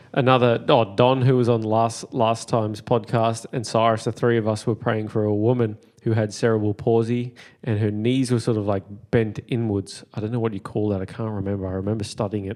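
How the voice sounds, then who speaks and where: Over a quiet background, a man with an Australian accent talks fairly quickly at a medium pitch in a monotone, flat delivery. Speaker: podcast host. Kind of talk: casual chat; testimony.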